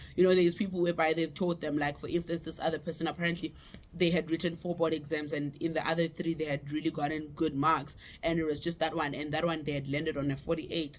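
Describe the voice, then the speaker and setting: A woman speaks very fast in a very deep, low voice. Her intonation stays monotone and flat. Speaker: lawyer and YouTuber. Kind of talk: casual advice vlog.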